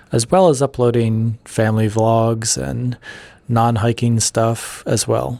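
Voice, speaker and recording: The man's voice is quiet, with a dark, mellow tone. He talks at a very slow pace. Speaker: YouTuber and podcaster. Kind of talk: solo podcast monologue. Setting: office.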